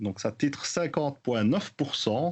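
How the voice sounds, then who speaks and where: A man speaks with a Belgian accent. His pace is fairly slow. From Belgium. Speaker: podcast co-host, rum news segment. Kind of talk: news roundup in casual podcast chat. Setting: remote from Belgium. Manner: hesitant with many fillers.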